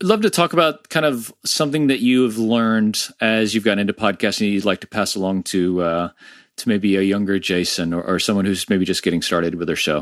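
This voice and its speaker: A man with an American accent and an unremarkable speaking voice talks at a fairly quick pace and fairly low pitch, with lively intonation over a quiet background. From Florida, US. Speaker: podcast host. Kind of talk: casual interview.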